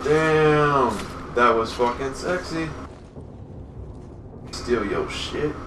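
Against noticeable background noise, a man with a fairly high pitch speaks at a very slow pace, with long, frequent pauses and ordinary pitch variation. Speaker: gameplay commentator. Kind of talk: casual let's play commentary. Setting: distant desk microphone, boosted levels. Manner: excited. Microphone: camera far.

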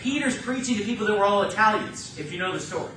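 Here a man talks in a high pitch with ordinary pitch variation. Noticeable background noise and audible room echo surround him. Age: 30s. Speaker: pastor. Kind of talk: sermon.

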